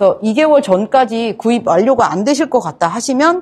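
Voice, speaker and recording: A woman's dark, mellow voice at a fairly quick pace, with very wide pitch swings. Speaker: accounting firm lecturer. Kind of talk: lecture. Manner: halting with fillers.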